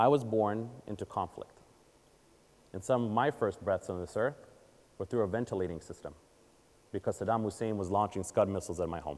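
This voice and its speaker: Fairly low in pitch, a man talks at a fairly quick pace with ordinary pitch variation. He leaves long, frequent pauses. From Israel, then Baltimore, Maryland from age eight. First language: Hebrew. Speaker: communications advisor and conference speaker. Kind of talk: audience Q&A; keynote talk. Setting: stage with audience. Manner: animated.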